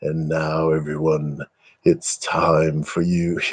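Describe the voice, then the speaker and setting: A put-on character voice drags along at a very slow pace in a monotone, flat intonation. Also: man, very deep, low pitch for a man. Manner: suave, smooth.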